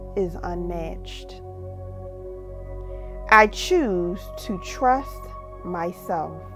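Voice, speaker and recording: Over music in the background, a woman speaks in a calm tone at a very slow pace. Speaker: meditation guide, mindset coach. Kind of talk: guided meditation with affirmations. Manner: calm, slow, paced with long pauses.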